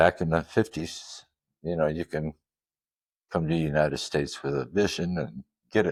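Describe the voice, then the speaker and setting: In a West Coast accent, a man with a very deep, low pitch and ordinary pitch variation speaks at a moderate pace with long, frequent pauses, the sound dry and close with no echo and the recording very clean against a silent background. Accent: American West Coast. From Netherlands, then Los Angeles area from childhood. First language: Dutch. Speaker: custom van owner and grille manufacturer. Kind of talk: interview. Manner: hesitant, many fillers.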